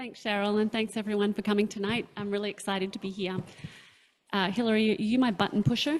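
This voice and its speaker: A woman with an Australian accent at a medium pitch, very fast delivery broken by long, frequent pauses, big swings in loudness and fairly even intonation. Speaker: sailing captain, panelist. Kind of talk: presentation with slides.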